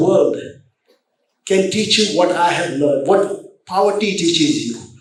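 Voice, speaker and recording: Audible room echo surrounds a man who talks at a moderate pace with ordinary pitch variation. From India. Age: 70s. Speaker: business chairman. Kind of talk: motivational speech.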